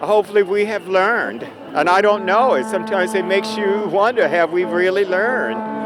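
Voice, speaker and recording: A man talks at a fairly quick pace with an American accent and a high pitch. His intonation is fairly even, and there is noticeable background noise. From US South. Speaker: protester interviewed at a march. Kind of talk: street interview. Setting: outdoors at a street protest.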